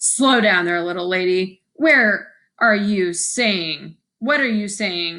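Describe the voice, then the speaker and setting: A woman's put-on character voice at a medium pitch and fairly slow pace. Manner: amused.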